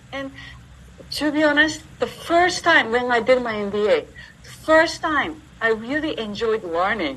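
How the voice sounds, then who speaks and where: Against noticeable background noise, a woman with a Japanese accent talks at a fairly slow pace in a high voice, with lively intonation and big swings in loudness. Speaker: entrepreneur and university teacher. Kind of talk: interview.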